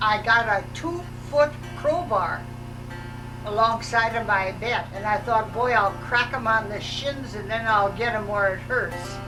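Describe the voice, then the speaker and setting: A woman with an American accent and a fairly high voice, at a fairly slow pace, with music in the background. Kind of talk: home video life story telling. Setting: home VHS recording.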